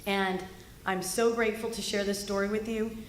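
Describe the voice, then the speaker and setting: With an American accent, a woman talks at a moderate pace amid noticeable background noise and audible room echo. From California. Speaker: political speaker. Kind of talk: political speech.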